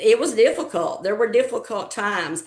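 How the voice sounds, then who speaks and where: Lively intonation from a woman, with noticeable noise in the background. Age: 70s. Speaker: retired educator. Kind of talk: interview. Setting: video podcast. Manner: halting, many fillers.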